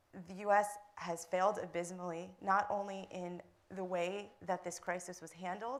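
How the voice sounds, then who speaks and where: With an American accent, a woman in an ordinary speaking voice talks at a moderate pace and medium pitch, her intonation fairly even. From United States. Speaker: filmmaker and humanitarian campaigner. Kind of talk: panel discussion.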